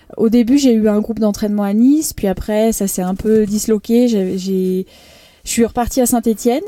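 A woman with an unremarkable speaking voice talks at a fairly high pitch, moderate pace and fairly even intonation. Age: 30s. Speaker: professional triathlete. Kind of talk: interview. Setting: on location at the race.

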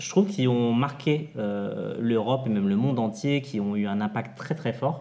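This man speaks with lively intonation. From France, Essonne. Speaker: podcast host, adult content creator. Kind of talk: casual chat.

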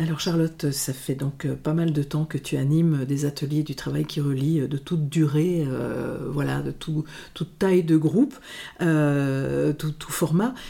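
A woman speaks at a fairly slow pace in a very deep, low voice. Her intonation stays fairly even. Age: 60s. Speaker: podcast host and group facilitator. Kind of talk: conversational interview. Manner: hesitant, many repetitions and fillers.

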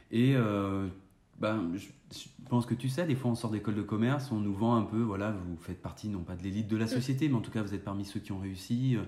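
A man talks at a fairly quick pace with a fairly low pitch, ordinary pitch variation and a dark, mellow tone. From France, Saint-Étienne. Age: 30s. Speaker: independent consultant. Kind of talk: interview.

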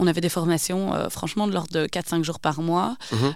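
Using ordinary pitch variation, a woman with a fairly low pitch talks at a fairly quick pace. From Belgium, Wavre (Walloon Brabant). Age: 30s. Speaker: entrepreneur. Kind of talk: interview. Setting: studio.

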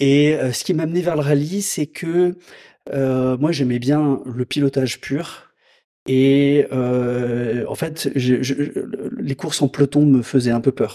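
A man with a fairly high pitch speaks at a very slow pace. His tone is dark and mellow, with ordinary pitch variation. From Lyon region, France. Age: 50s. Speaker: motorcycle dealership manager. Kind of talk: casual interview. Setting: motorcycle dealership. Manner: hesitant, many fillers.

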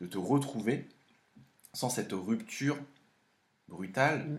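Audible room echo on a man's speech, its pitch varying in an ordinary way. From France, of Laotian parents. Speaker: host's partner. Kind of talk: casual chat. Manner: halting.

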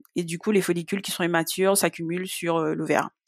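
At a fairly quick pace, a woman speaks in a flat monotone at a medium pitch, the sound dry and close with no echo. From Guadeloupe. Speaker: patient sharing illness experience. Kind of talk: testimony.

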